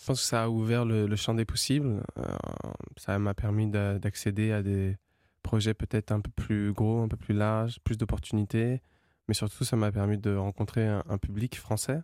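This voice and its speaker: A dark, mellow tone with fairly even intonation at a moderate pace, in a dry, close sound with no echo on a very clean recording with a silent background. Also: man, fairly low pitch for a man. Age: young. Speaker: singer-songwriter. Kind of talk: radio interview.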